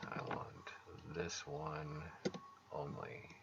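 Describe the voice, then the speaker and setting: A mumbling man amid audible room echo. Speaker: game developer. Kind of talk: tutorial. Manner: casual.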